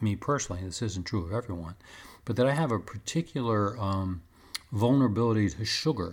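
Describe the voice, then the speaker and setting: This very clean recording has a silent background. In it, a man talks at a fairly low pitch. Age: 60s. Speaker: podcast host. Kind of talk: personal monologue. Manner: halting, many fillers.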